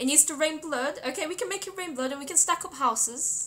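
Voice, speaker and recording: A woman with a British accent speaks at a moderate pace in a raised, projected voice. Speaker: game streamer. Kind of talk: live game stream commentary. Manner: casual, chatty.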